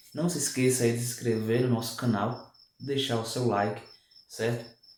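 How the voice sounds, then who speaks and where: A man speaks at a moderate pace and medium pitch. Room echo is audible. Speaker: math and physics teacher. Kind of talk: online lesson. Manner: slurs words at times.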